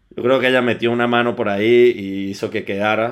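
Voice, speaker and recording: Here is a man with an unremarkable speaking voice. He talks at a fairly quick pace with fairly even intonation. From Venezuela, Caracas. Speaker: fitness instructor and personal trainer. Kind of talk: casual interview chat.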